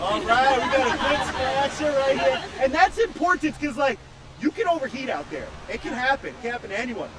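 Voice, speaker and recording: A loud voice with an animated tone comes at a fairly quick pace over crowd noise in the background. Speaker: live stream race commentator and interviewer. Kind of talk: live event interview.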